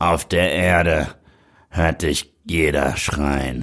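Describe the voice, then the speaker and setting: In a put-on character voice, a man speaks very slowly with a raspy, very deep, low pitch and fairly even intonation. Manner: dramatic, trashy.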